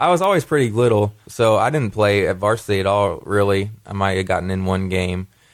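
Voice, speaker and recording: Speaking at a fairly quick pace with hardly any pauses, a man uses a fairly low pitch and ordinary pitch variation. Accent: Kentucky. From Kentucky (Wilmore, Jessamine County). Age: 20s. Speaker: former college basketball player. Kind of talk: radio interview.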